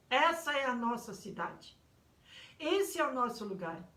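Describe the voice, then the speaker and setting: A woman speaks at a fairly slow pace with very wide pitch swings. Audible room echo surrounds her voice. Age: 70s. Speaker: pastor. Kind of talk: sermon. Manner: halting.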